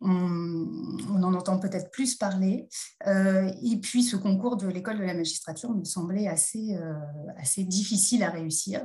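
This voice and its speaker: With ordinary pitch variation and a medium pitch, this woman talks fairly slowly. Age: 40s. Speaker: judge and magistrate trainer. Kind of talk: interview. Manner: hesitant, many fillers.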